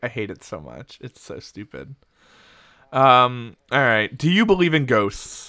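A man talks with a bright, sharp tone and lively intonation. His loudness swings widely. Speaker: podcast co-host. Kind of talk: casual chat.

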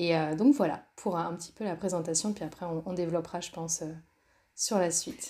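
This woman talks at a fairly quick pace, her voice fairly low with a dark, mellow tone. Her pitch varies in an ordinary way while her loudness swings widely. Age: 30s. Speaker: entrepreneur and coach. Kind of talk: interview.

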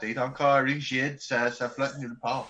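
Speaking at a fairly slow pace with an Albertan accent, a man uses a fairly high, bright, sharp voice with ordinary pitch variation. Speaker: bagpiper in a band. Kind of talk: casual chat.

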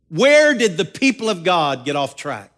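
Male speech in an American accent over a quiet background. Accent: Southern US, held back. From US South. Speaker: pastor. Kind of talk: sermon. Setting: church.

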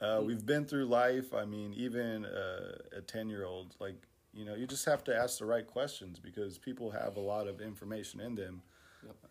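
At a moderate pace, an ordinary speaking voice shows ordinary pitch variation while its loudness takes big swings. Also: man, fairly low pitch for a man. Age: 20s. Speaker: podcast co-host. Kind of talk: casual chat.

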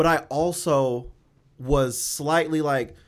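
A fairly high-pitched male voice on a very clean recording with a silent background. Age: 20s. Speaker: podcast co-host. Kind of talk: casual chat.

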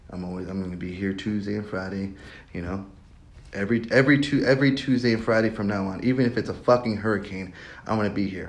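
Amid audible room echo, a man with a fairly low pitch races along at a very fast pace with ordinary pitch variation. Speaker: solo podcaster. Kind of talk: casual monologue.

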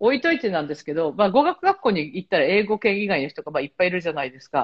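A woman's voice with very wide pitch swings. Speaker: travel agency worker and association head. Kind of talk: casual chat. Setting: remote call from Malta.

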